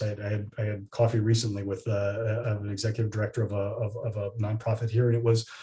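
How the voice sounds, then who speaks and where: Somewhat breathy, a man's dark, mellow voice sits at a medium pitch. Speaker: estate planning attorney. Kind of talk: webinar presentation and Q&A. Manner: fast; repetitive stammering false starts.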